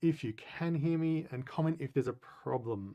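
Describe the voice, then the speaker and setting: A man with an Australian accent speaks in a dark, mellow tone with ordinary pitch variation. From Australia, Adelaide. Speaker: business consultant and coach. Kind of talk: webinar presentation. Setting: live online webinar. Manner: halting, many fillers.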